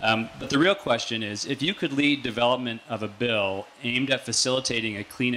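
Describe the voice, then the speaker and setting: Noticeable background noise runs beneath the recording. A man with a Canadian accent speaks at a fairly quick pace and a medium pitch, with ordinary pitch variation. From Canada. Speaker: student, audience member. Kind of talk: audience question.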